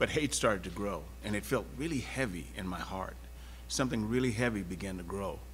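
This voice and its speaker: Over audible room echo, a man speaks at a moderate pace with vocal fry. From Texas (Houston). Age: 70s. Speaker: panelist on civil rights and diversity. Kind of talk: panel discussion. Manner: halting, many fillers and restarts.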